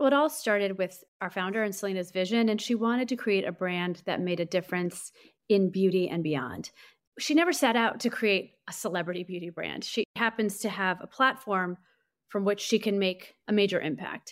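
In an ordinary speaking voice, a woman with an American accent talks at a moderate pace with ordinary pitch variation, recorded very cleanly against a silent background. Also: medium pitch for a woman. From US Midwest, St. Louis, Missouri. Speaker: beauty brand marketing executive. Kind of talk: interview conversation.

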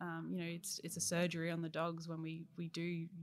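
Her Australian accent comes through in a fairly low-pitched woman's voice. She talks at a fairly quick pace with monotone, flat intonation. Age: 20s. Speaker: puppy education supervisor. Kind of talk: interview. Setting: indoor hall at workplace.

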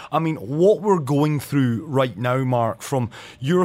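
On a very clean recording with a silent background, a man with a Scottish accent talks at a moderate pace, his fairly high pitch showing ordinary variation. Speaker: radio host. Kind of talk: radio interview.

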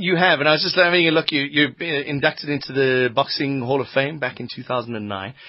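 Noticeable background noise sits behind a man with a fairly high pitch. He talks fairly quickly, with hardly any pauses. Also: ordinary pitch variation. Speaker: radio host. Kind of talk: radio interview. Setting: radio studio. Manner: animated, jokey.

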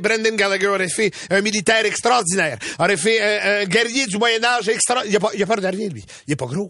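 Amid noticeable background noise, a man with an animated tone and lively intonation speaks in a raised, projected voice at a high pitch and a moderate pace. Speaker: radio host. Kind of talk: casual chat.

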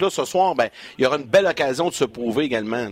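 A man speaks with a Quebec accent at a fairly high pitch. His pace is very fast and his intonation lively. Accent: Québécois French. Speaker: hockey broadcaster. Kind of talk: sports talk show. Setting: studio.

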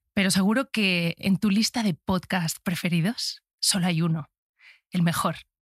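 On a very clean recording with a silent background and a dry, close sound with no echo, a woman speaks at a medium pitch and a fairly slow pace, her somewhat breathy voice animated in tone, with ordinary pitch variation and very even loudness. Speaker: podcast host. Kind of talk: casual chat.

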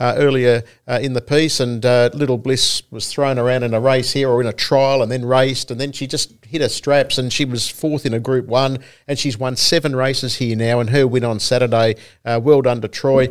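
In an Australian accent, the voice moves at a fairly quick pace with monotone, flat intonation. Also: man. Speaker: harness racing podcast co-host. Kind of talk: casual chat.

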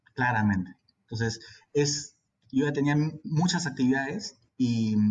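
A man speaks at a medium pitch and a fairly slow pace. His pitch varies in an ordinary way. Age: 30s. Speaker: infectious disease physician. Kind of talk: interview. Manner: halting.

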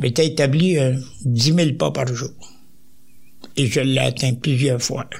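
With a Quebec accent, a man speaks very slowly at a medium pitch, somewhat breathy, with ordinary pitch variation and long, frequent pauses. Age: 90s. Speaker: retired soldier. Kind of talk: interview.

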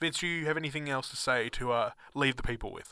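A man with a bright, sharp tone talks very fast, his pitch varying in an ordinary way. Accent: Australian. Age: 20s. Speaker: student radio co-host. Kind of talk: casual chat. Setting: studio.

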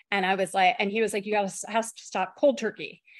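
An ordinary speaking voice from a woman at a medium pitch. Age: 50s. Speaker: professor of education and migraine patient. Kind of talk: interview, personal testimony.

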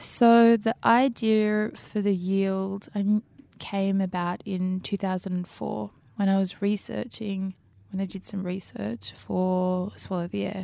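Over a silent background in a very clean recording, a woman with an Australian accent speaks very slowly, medium-pitched and dark, mellow in tone, with fairly even intonation. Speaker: novelist. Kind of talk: interview.

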